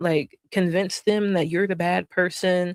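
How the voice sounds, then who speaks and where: A woman with an American accent uses an ordinary speaking voice at a medium pitch, talking at a fairly slow pace with fairly even intonation in a dry, close sound with no echo, on a very clean recording with a silent background. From North Carolina. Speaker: streamer. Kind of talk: casual stream commentary.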